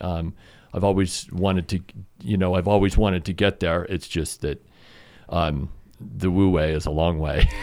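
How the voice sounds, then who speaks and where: This man has an American accent and a very deep, low pitch, with vocal fry. He leaves long, frequent pauses. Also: ordinary pitch variation, moderate pace. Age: 50s. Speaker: climber and photographer. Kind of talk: casual chat. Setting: studio.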